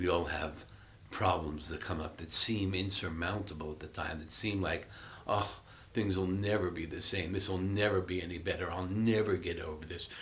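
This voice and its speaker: A man talks at a moderate pace with a very deep, low pitch and fairly even intonation. Audible room echo fills the recording. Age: 60s. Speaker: Buddhist meditation teacher. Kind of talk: dharma talk. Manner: reflective, halting with fillers.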